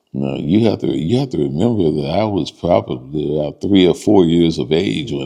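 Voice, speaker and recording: A man speaks with a very deep, low pitch and a dark, mellow tone, touched with vocal fry. His intonation is lively. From southern Illinois (Cairo). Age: 70s. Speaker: police dispatcher, oral history interviewee. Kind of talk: oral history interview. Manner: halting, many fillers.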